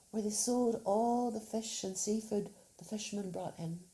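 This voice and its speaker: A woman's fairly high voice has a dark, mellow tone, a somewhat breathy quality and fairly even intonation. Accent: Northern Irish. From Northern Ireland. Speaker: storyteller. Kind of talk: children's storytelling.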